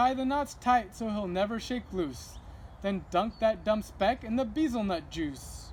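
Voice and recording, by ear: Reading aloud in a natural voice, with an ordinary amount of pitch movement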